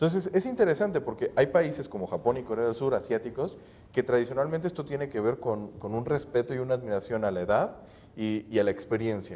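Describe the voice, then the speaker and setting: Speaking at a very fast pace, a man uses lively intonation and a dark, mellow tone. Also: medium pitch for a man. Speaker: financial advisor on TV panel. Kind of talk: TV panel discussion.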